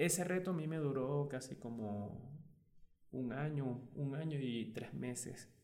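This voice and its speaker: Amid audible room echo, a man speaks with ordinary pitch variation. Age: 20s. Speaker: personal trainer. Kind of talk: interview. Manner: halting, many repetitions and fillers.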